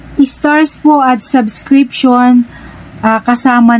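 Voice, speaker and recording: A woman speaks at a very slow pace. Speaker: content creator. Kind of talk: tutorial.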